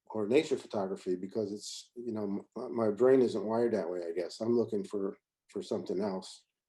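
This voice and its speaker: In an American accent, a man with a dark, mellow tone and fairly low pitch talks at a fairly quick pace with ordinary pitch variation. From Pennsylvania (Reading). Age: 60s. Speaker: photographer. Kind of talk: lecture. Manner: fast; halting, many fillers.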